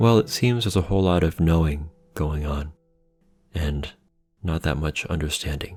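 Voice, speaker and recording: Over music in the background, a man with a very deep, low pitch talks at a moderate pace with ordinary pitch variation and long, frequent pauses. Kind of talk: philosophical lecture narration.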